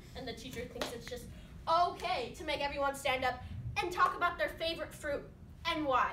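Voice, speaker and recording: A woman speaks in a raised, projected voice with a bright, sharp tone. Noticeable background noise sits behind her. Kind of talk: comic monologue performance. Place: stage. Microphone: camera far.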